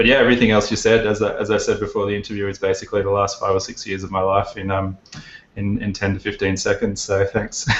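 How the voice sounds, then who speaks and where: At a very fast pace, a man talks with an Australian accent. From Australia, Brisbane. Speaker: plugin developer, business founder. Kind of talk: interview.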